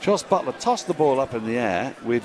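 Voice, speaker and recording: Against crowd noise in the background, a man at medium pitch speaks at a moderate pace with very wide pitch swings. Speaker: cricket commentator. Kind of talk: live ball-by-ball cricket commentary. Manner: excitable, halting bursts when drama unfolds.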